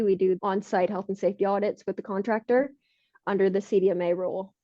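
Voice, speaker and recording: A woman with a Canadian accent talks at a very fast pace. Her medium-pitched voice has monotone, flat intonation. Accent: Canadian, often taken for American. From Canada. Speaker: health and safety consultant. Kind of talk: podcast interview.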